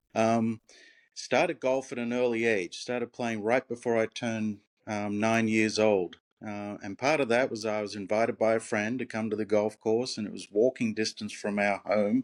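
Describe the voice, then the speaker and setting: A man speaks in an Australian accent at a moderate pace against a quiet background. His medium-pitched voice keeps a fairly even intonation. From Australia, Brisbane. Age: old. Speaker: retired golf professional. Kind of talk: interview.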